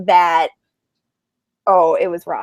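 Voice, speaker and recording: A woman speaks with a dry, close sound and no echo. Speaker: live video show host. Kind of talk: casual chat. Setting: video call. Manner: fast.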